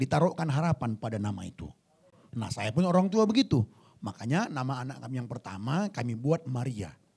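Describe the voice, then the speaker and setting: A somewhat breathy voice speaks fairly quickly in an animated tone, with very wide pitch swings and big swings in loudness. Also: man, medium pitch for a man. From Indonesia, Batak (North Sumatra). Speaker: pastor. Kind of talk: sermon. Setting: church service. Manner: animated, conversational with humor.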